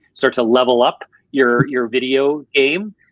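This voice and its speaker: Fairly even intonation in a Canadian accent. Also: man. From Canada, Ontario. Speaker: marketing executive. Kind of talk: podcast interview.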